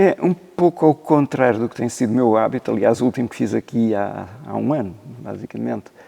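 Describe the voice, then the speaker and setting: A man talks at a fairly quick pace with lively intonation, his medium-pitched voice dark and mellow in tone. The sound is dry and close with no echo. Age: 70s. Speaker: concert pianist and former teacher. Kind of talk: interview. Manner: hesitant, many fillers.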